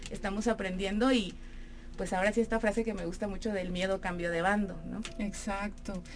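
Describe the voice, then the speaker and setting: With a medium pitch, this woman talks fairly quickly. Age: 30s. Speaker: actress and theatre producer. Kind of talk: radio interview. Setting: radio studio.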